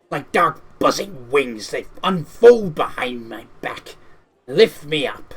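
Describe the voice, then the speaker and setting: A put-on character voice from a man, fairly high-pitched and fairly slow. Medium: game stream. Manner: malevolent, hungry.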